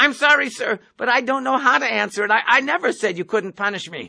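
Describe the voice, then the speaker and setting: Someone uses a put-on character voice with lively intonation at a fairly quick pace. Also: man, extremely high pitch for a man. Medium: read story. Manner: polite, nervous, over-explaining.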